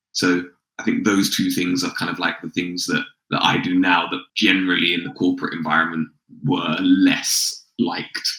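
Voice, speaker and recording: Here is a man with a London accent. He talks at a moderate pace. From London, England. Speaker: sales consultant and founder. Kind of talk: podcast interview. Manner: casual, conversational.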